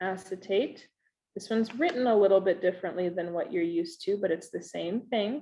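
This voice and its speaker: A woman uses an ordinary speaking voice at medium pitch. She keeps a moderate pace with ordinary pitch variation. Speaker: chemistry teacher. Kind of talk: recorded lesson.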